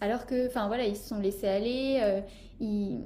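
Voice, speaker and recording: A woman talks at a fairly quick pace with ordinary pitch variation in an unremarkable speaking voice. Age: 20s. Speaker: podcast host and life coach. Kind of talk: casual chat.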